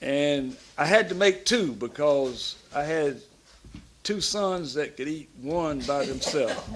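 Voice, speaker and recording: A man in a Southern US accent, fairly high-pitched and lively in intonation, at a very slow pace with audible room echo. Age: 70s. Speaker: pastor. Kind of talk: sermon-style talk. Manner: animated.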